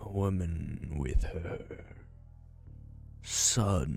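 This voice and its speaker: A man puts on a character voice pitched very deep and low, with ordinary pitch variation. Background noise is clearly audible. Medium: game stream. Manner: polite, halting, menacing.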